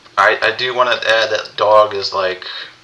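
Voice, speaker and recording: A man talks while noticeable noise can be heard behind him. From US South. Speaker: podcast co-host, gamer. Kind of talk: casual group chat.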